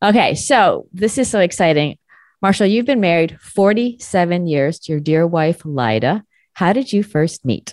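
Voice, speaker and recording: Against a quiet background, a woman talks at a fairly slow pace in a fairly low voice with very wide pitch swings, recorded dry and close with no echo. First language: not English (learned at five). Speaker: radio show host, communication coach. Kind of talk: interview. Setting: radio broadcast. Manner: animated.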